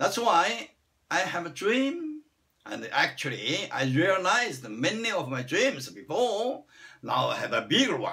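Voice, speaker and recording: In a Chinese accent, a man with a high pitch speaks fairly slowly and swings his pitch very widely. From China. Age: 60s. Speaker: vlogger. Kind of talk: personal self-introduction monologue.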